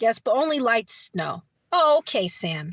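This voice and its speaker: A woman with an American accent speaks at a moderate pace. The recording is very clean, with a silent background and dry, close sound with no echo. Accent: New York accent, switches at times. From New York City, Brooklyn. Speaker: livestreamer. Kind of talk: casual chat. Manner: repetitive, hesitant.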